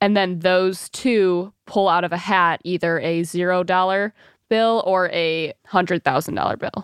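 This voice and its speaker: In a quiet background with a dry, close sound and no echo, a woman with an American accent speaks at a moderate pace, her pitch medium and her intonation fairly even. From Michigan. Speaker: reality TV personality and influencer. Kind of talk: casual interview.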